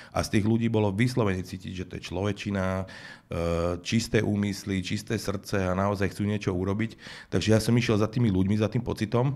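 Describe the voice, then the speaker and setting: In an ordinary speaking voice, a man talks at a fairly quick pace with a fairly low pitch and fairly even intonation. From Slovakia. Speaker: music manager turned political candidate; interview guest, politician. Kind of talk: interview. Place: studio. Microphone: studio mic.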